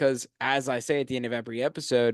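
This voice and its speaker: A man speaks at a fairly quick pace. The sound is dry and close with no echo, over a quiet background. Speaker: podcast host. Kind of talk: solo podcast monologue. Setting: studio. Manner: fast.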